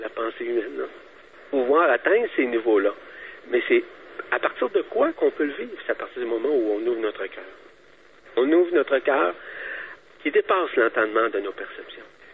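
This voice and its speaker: A man speaks over noticeable background noise. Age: 60s. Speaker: spiritual speaker. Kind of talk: interview.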